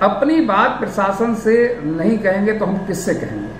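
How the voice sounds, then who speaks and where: With audible room echo and noticeable background noise, a man speaks in a high voice with ordinary pitch variation. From Uttar Pradesh, India (Pilibhit). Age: 70s. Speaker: landowner making a public appeal. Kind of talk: public appeal statement. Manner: formal.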